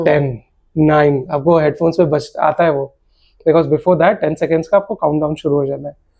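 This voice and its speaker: With a plain, everyday voice, a man speaks at a moderate pace in a fairly high pitch and fairly even intonation. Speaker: radio jockey (RJ), podcast guest. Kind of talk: casual conversational storytelling in podcast interview, Hindi mixed with English.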